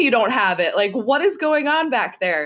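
In a very clean recording with a silent background, a woman talks at a fairly quick pace with a Minnesota accent. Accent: Minnesotan American. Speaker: sports broadcaster. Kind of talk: interview.

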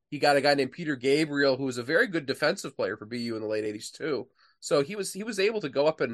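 Against a quiet background, a man with a fairly high pitch talks at a very fast pace. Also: dry, close sound with no echo. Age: 40s. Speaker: author and historian. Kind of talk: interview.

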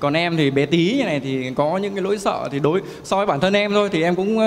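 Very fast speech from a man with a high pitch and ordinary pitch variation, over noticeable background noise. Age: 20s. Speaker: young entrepreneur seeking advice. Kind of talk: coaching Q&A. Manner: deferential, hesitant.

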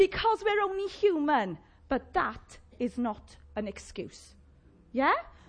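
A woman speaks with a South Wales accent. Her pitch swings very widely. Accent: Llanelli Welsh. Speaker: preacher. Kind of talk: sermon. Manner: animated, call-and-response.

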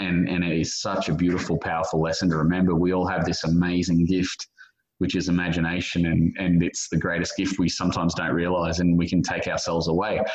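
Speaking very fast, a man with an Australian accent has a very deep, low pitch. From Australia, suburban Brisbane. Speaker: author and journalist. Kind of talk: interview. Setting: remote call. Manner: animated, enthusiastic.

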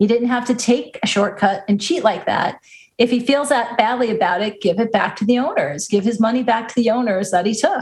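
A woman's ordinary speaking voice, fairly high in pitch, with ordinary pitch variation and a fairly quick pace. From US Northeast, Long Island. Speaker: baseball podcast co-host. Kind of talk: casual chat.

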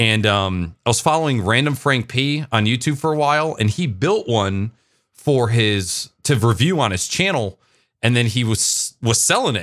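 An unremarkable speaking voice, with lively intonation, moves at a moderate pace. Its loudness stays very even in a very clean recording with a silent background. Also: man, medium pitch for a man. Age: 20s. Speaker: Twitch streamer and IT worker. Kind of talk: casual chat.

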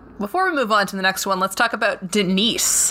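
Over noticeable background noise, a woman speaks at a moderate pace and medium pitch with lively intonation. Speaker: podcast co-host. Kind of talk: casual chat. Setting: home basement.

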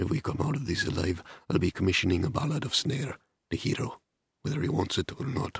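A man puts on a raspy character voice at medium pitch, talking at a very fast pace. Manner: muttering, dry.

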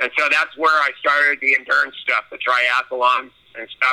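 A man with a Californian accent speaks at a medium pitch in a monotone, flat intonation. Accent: Californian American. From Southern California. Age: 60s. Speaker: blind water sports athlete and Navy veteran. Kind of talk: interview. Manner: halting.

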